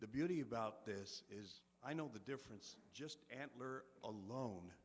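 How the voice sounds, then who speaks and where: At a fairly slow speed, a man talks with audible echo from the room. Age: 60s. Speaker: resident speaking at public comment. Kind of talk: public comment at city council meeting. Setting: city council meeting. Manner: earnest, somewhat halting.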